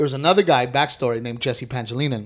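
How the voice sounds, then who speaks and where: Over a very clean recording with a silent background, a man talks at a fairly quick pace and medium pitch with ordinary pitch variation in an unremarkable speaking voice. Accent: American. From South Texas, near Corpus Christi. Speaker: stand-up comedian. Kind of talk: casual chat.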